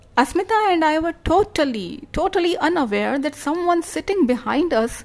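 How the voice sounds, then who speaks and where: This woman's voice is high-pitched, with lively intonation. She talks at a moderate pace. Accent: Indian. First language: Hindi. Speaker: blogger and story writer. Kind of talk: reading aloud.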